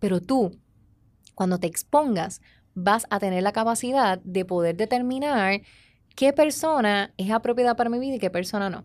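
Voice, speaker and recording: A woman's ordinary speaking voice, fairly high-pitched and at a moderate pace, on a very clean recording with a silent background. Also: ordinary pitch variation. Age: 30s. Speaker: relationship educator and podcast host. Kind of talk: motivational talk. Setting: studio.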